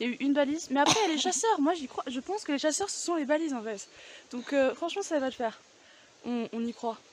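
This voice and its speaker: A high-pitched woman talks at a very fast pace with lively intonation over noticeable background noise. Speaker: vlogger. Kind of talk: casual vlog chat. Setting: outdoors, mountain hike. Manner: loud.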